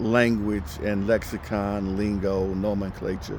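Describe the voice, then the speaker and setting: In a room with audible echo, a man with an American accent speaks at a fairly low pitch in a monotone, flat intonation. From United States. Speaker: ESL teacher. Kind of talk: casual monologue. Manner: halting, many fillers.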